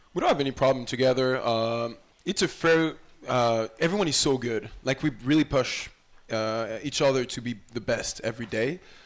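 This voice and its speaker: Speaking at a medium pitch, a man talks with a French accent. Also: ordinary pitch variation, moderate pace. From France. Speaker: college volleyball player. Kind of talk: interview. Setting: live show in a restaurant.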